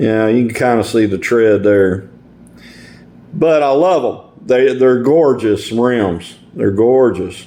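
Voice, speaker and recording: Amid audible room echo, a man with an East Texas accent talks at a very slow pace in a dark, mellow tone. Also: medium pitch for a man, ordinary pitch variation, very even loudness. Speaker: hobbyist video maker. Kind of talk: tutorial. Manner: casual, halting with repeated words.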